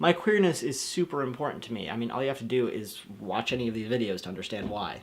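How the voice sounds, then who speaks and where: A man with an American accent speaks in a plain, everyday voice. His medium-pitched delivery has lively intonation. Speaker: youtuber. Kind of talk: vlog.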